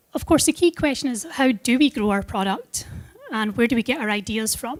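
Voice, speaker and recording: With a Scottish accent, a woman speaks at a fairly quick pace and high pitch, her intonation lively and the sound dry and close with no echo. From Scotland. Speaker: product manager at a tech company. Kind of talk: conference presentation.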